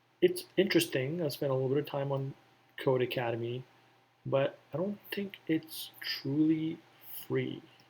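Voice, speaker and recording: A man talks in a somewhat breathy, fairly high voice with ordinary pitch variation. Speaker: coding tutorial youtuber. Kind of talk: casual tutorial talk. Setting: at home, indoors. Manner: very slow; quiet, hesitant with fillers.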